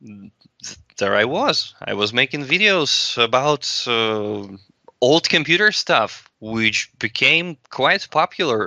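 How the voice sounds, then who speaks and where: A man's bright, sharp tone at medium pitch, very slow, in a dry, close sound with no echo. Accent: Russian. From Russia. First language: Russian. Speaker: video blogger. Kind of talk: casual chat. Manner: halting.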